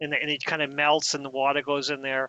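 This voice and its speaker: A man speaks with a dry sound and no echo. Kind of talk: casual conversation. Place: home room. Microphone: headset.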